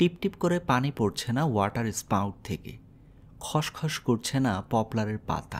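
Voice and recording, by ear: Lively intonation while reading aloud in a natural voice.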